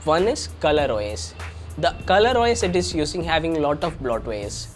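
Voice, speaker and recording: A man is speaking. Music plays in the background. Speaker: tech reviewer. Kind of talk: tech review talk to camera.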